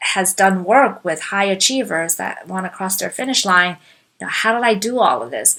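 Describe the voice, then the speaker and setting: A woman speaks with a non-native accent at a fairly slow pace. Her medium pitch shows ordinary variation. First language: not English. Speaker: life coach. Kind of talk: talk / webinar presentation.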